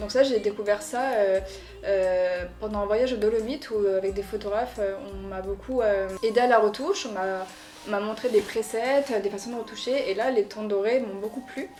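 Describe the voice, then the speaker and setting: With music in the background, a woman speaks in a fairly high pitch at a moderate pace with fairly even intonation. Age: 20s. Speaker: photographer. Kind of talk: interview. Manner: soft-spoken.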